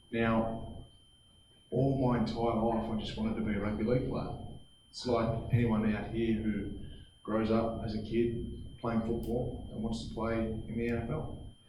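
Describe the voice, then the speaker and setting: A man speaks at a moderate pace with a medium pitch and monotone, flat intonation. Audible room echo and noticeable background noise are present. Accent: Australian. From Australia, New South Wales. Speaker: former rugby league player, mental health speaker. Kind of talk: motivational talk to students. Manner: halting, repeats words.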